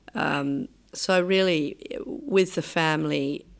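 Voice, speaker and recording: A woman talks with an Australian accent. Her intonation is lively. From Australia, Adelaide. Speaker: urbanist and author. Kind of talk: interview. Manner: halting, frequent um.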